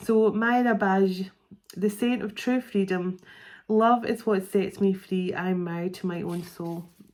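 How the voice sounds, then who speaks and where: In a Scottish accent, a woman speaks at a fairly slow pace and medium pitch with fairly even intonation, on a very clean recording with a silent background. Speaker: psychic tarot reader. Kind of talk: tarot card reading. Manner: halting, stumbling over words.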